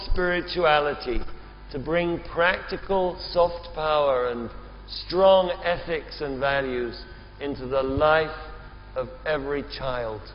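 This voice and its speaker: Amid noticeable background noise and audible room echo, a man talks very slowly. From England (Oxford). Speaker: event moderator. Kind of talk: moderated panel discussion.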